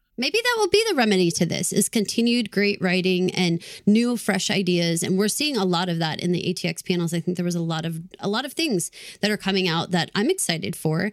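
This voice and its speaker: A woman with an American accent speaks fairly quickly in a normal speaking voice, at a medium pitch with ordinary pitch variation. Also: very clean recording, silent background. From Texas. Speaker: podcast co-host. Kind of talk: casual chat.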